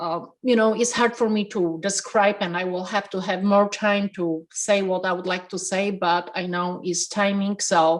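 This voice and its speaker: A woman with a Polish accent, talking with hardly any pauses. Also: medium pitch for a woman, fairly even intonation, moderate pace. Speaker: restaurant owner. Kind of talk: interview. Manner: passionate; halting.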